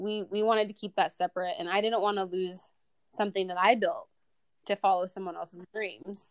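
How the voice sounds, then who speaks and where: Her intonation stays monotone and flat. The woman speaks at a fairly quick pace. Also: medium pitch for a woman. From US Midwest, Indiana. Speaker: entrepreneur, marketing agency founder. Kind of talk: casual interview.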